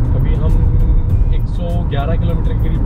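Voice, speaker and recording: A man talks with music in the background. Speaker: travel vlogger. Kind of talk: casual vlog chat. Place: car.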